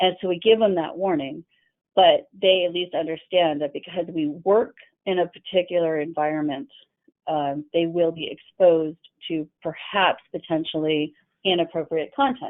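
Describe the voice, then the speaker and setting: A woman's fairly low-pitched voice at a moderate pace with ordinary pitch variation, an unremarkable speaking voice. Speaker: employment lawyer. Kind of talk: webinar presentation. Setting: online webinar.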